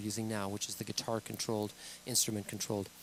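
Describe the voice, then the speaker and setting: A man's voice at a medium pitch. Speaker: product demonstrator. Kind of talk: tutorial. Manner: fast.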